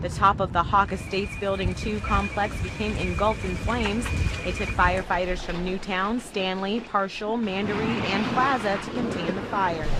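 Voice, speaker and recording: A woman's moderately paced speech comes through with noticeable background noise. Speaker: multimedia journalist. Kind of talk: TV news report.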